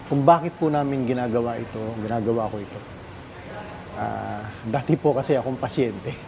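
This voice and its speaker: The speaker moves at a fairly quick pace but leaves long, frequent pauses. Pitch variation is ordinary. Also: man, medium pitch for a man. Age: 60s. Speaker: artist and art program founder. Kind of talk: TV interview. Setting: studio.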